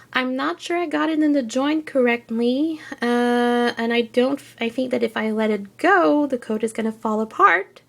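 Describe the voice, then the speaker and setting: Speech flows at a moderate pace with hardly any pauses, in a French Canadian accent. The intonation is lively. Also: woman, high pitch for a woman. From French Canada. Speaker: figure collector. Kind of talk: casual review talk to camera.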